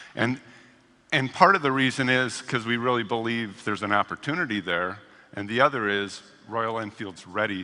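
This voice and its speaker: A man speaks at a moderate pace in a medium pitch. His tone is bright and sharp. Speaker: corporate executive. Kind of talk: business presentation. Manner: energetic.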